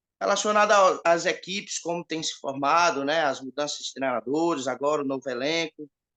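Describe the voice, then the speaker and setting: A man's fairly high, bright and sharp voice at a fairly quick pace, with ordinary pitch variation, hardly any pauses, a quiet background and dry, close sound with no echo. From Ceará, Northeast Brazil. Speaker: viewer asking a question. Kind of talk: audience question.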